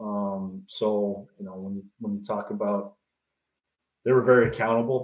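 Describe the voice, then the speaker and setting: The speaker is a man with a Canadian accent. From Canada. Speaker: baseball pitching coach. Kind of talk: podcast interview. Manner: halting, many fillers.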